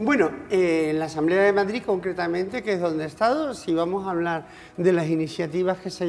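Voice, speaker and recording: A woman talks at a fairly quick pace with music in the background. Her pitch is medium, with ordinary variation. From Canary Islands, Spain. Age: 60s. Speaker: politician, former regional MP. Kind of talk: TV interview. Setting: TV studio.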